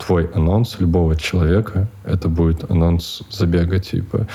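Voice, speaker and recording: At a fairly slow pace, a man with a very deep, low pitch speaks with fairly even intonation over noticeable background noise. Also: very even loudness. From Siberia, Russia (Chita). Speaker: coffee shop owner. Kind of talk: casual interview. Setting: studio.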